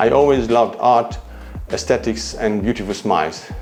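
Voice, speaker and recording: A man with a Hungarian accent at a medium pitch, with ordinary pitch variation and a moderate pace, music in the background. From Hungary. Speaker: dentist. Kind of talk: promotional self-introduction.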